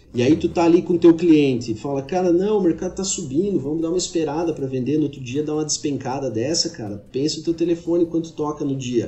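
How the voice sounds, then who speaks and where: A man rattles along very fast with hardly any pauses, at a fairly high pitch with ordinary pitch variation. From Santa Catarina, Brazil (Xanxerê). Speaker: agronomist and agricultural market analyst. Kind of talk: casual podcast interview.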